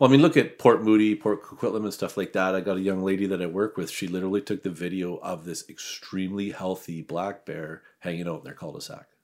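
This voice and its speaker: In a very clean recording with a silent background, a man with a Western Canadian accent talks at a very fast pace in a very deep, low pitch, his loudness swinging widely. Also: ordinary pitch variation. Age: 50s. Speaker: hunter. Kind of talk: casual chat.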